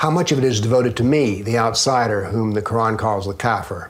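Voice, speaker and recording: There is audible room echo around this man. He has a Southern US accent and ordinary pitch variation. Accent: Southern American. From US South. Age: 70s. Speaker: author and former professor. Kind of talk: interview.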